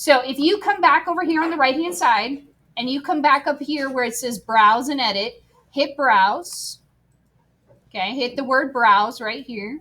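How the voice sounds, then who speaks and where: Raising and projecting her high-pitched voice, a woman speaks at a fairly slow pace with a bright, sharp tone and lively intonation. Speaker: teacher. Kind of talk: classroom tutorial. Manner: casual, conversational.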